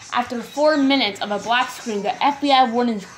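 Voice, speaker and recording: Against noticeable background noise, a woman with fairly high pitch talks at a moderate pace. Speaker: creepypasta narrator. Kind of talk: first-person horror story narration, read aloud. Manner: halting, stumbling over words and repeating phrases while reading.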